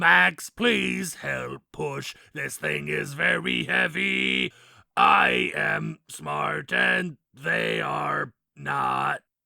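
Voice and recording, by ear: Putting on a character voice, a man speaks raspy and very deep, at a very slow pace.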